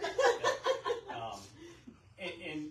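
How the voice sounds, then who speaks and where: The speaker has an American accent. The room echo is audible. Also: man. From US Northeast, Boston area. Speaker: military veteran. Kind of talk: casual interview chat. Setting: live stream video show. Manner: halting, many fillers and repeats.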